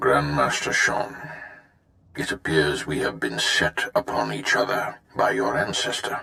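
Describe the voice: A man does a put-on character voice at an extremely low pitch, with vocal fry and a bright, sharp tone. He speaks at a fairly slow pace with very wide pitch swings.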